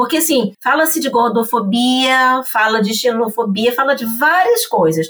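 A woman's high, bright, sharp voice at a fairly slow pace, with ordinary pitch variation. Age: 50s. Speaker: English teacher and entrepreneur. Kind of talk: casual chat.

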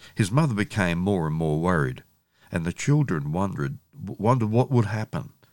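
A man with a fairly low pitch speaks with very wide pitch swings. The recording is very clean, with a silent background. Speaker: podcast host and youth worker. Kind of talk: audiobook-style story reading of a child's tale, told in an even, gentle, narrative tone. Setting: podcast episode. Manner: earnest, formal and informative.

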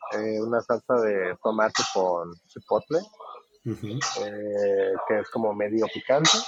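The man talks at a very slow pace with hardly any pauses. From Mexico, Guadalajara. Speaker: taco restaurant owner abroad. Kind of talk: casual interview.

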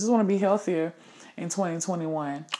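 An animated tone with ordinary pitch variation on a very clean recording with a silent background. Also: woman. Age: 30s. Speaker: podcast co-host. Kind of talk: casual chat.

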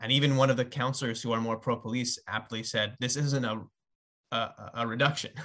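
A man talks at a fairly quick pace and medium pitch, with a bright, sharp tone and monotone, flat intonation, against a quiet background. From Montreal, Quebec. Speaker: activist, advocacy group board member. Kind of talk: casual interview. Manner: halting, many repeated words.

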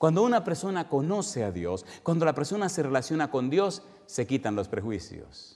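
Animated in tone, a man with a fairly high pitch talks at a moderate pace with very wide pitch swings. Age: 50s. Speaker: preacher. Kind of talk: sermon.

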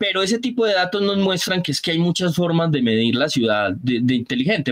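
With lively intonation and a fairly quick pace, a man talks in an ordinary speaking voice. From Colombia, Antioquia (paisa), raised on San Andrés island. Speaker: innovation analyst. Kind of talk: casual interview.

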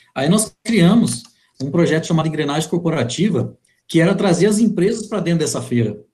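With music playing in the background, a man speaks at a high pitch with lively intonation. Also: fairly quick pace. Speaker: podcast host. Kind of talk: live interview. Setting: online live stream.

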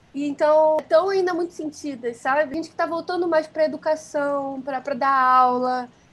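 The pace is moderate, with hardly any pauses. Intonation stays fairly even. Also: woman, high pitch for a woman. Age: 20s. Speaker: fashion designer. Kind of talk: casual interview.

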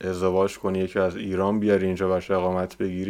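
Very deep and low in pitch, a man talks at a very fast pace. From Iran. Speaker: visual effects compositor. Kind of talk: casual chat.

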